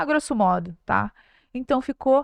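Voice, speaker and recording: This woman talks fairly slowly. Her recording sounds dry and close, without any echo. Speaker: podcast host. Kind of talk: casual chat. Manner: loud, animated with gestures.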